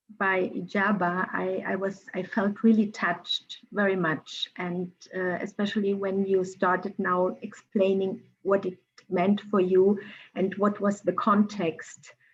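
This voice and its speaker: A woman's medium-pitched, monotone, flat voice at a fairly slow pace. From Germany. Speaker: cultural mediator. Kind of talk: panel discussion. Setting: video call.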